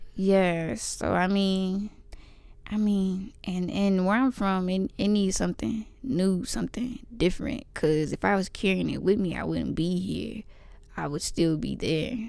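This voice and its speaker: A woman with an American accent, medium pitch, ordinary pitch variation and a fairly slow pace. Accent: slight country. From East Texas. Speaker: podcast co-host, pre-med student. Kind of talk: casual chat. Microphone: poor audio quality.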